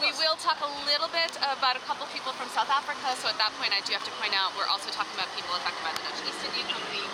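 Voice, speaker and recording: A woman with an American accent talks at a very fast pace in a high pitch, with lively intonation and hardly any pauses. Crowd noise fills the background. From United States. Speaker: tour guide. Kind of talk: guided walking tour talk. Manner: casual, hesitant with fillers.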